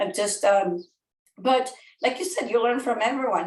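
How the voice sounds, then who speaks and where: Speaking at a moderate pace with a Spanish accent, a woman keeps her intonation fairly even. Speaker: real estate educator. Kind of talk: podcast interview.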